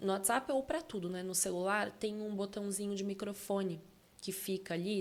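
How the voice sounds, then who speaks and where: At a moderate pace, a woman with a medium pitch speaks in a plain, everyday voice. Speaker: communication and public speaking specialist. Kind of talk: podcast interview.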